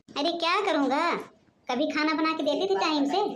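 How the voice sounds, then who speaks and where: A woman's squeaky, cartoonish character voice at an extremely high pitch and a moderate pace. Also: ordinary pitch variation, very even loudness. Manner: brazen, dismissive.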